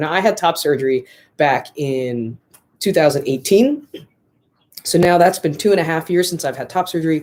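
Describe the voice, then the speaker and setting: Talking at a moderate pace, this man has a fairly high pitch. His pitch variation is ordinary. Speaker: vlogger sharing transition update. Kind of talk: casual vlog update. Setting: live stream. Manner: hesitant, many fillers.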